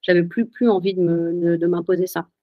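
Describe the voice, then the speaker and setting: At a fairly slow pace, a woman talks with a medium pitch. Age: 30s. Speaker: writing coach and author. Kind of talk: testimony. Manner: halting.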